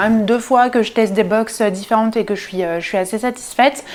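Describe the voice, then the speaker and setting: Noticeable background noise sits behind a woman whose fairly high pitch carries fairly even intonation. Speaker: sewing youtuber. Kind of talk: casual vlog haul. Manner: hesitant, many fillers.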